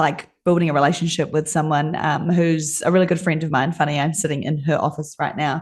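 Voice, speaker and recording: A woman's very deep, low-pitched voice, fairly quick in pace, with monotone, flat intonation. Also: hardly any pauses. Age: 30s. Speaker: design agency owner. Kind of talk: interview. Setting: video call from a friend's office.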